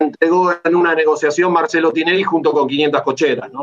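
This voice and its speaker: A man with an unremarkable speaking voice, fairly high in pitch, talks at a moderate pace with fairly even intonation. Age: 50s. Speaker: football club member and opposition club politician. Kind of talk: interview.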